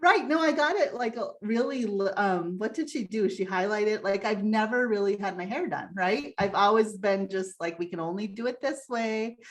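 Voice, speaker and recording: A woman with an unremarkable speaking voice, fairly high pitch and lively intonation, at a moderate pace with hardly any pauses. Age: 50s. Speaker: human design guide. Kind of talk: casual chat.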